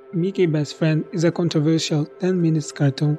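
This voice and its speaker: Over music in the background, a man speaks at a high pitch and moderate pace with fairly even intonation. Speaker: storyteller. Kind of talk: horror story reading.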